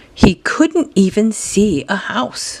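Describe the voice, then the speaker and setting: With noticeable background noise behind her, a woman talks in very wide pitch swings. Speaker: grandmother reading a children's book aloud. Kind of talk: children's picture book reading.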